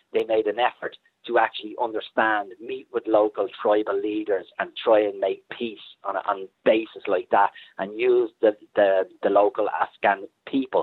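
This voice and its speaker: A man talks at a moderate pace with an Irish accent. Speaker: military historian. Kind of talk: interview. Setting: phone call.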